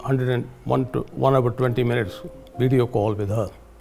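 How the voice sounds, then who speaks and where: Fairly even intonation at a moderate pace over noticeable background noise. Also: man. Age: 80s+. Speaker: bereaved father. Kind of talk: personal testimony. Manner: halting.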